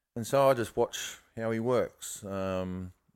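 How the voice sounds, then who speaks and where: In an Australian accent, a man speaks at a fairly low pitch with ordinary pitch variation. The recording is very clean, with a silent background. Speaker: bonsai grower, former nursery owner. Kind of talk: casual interview chat.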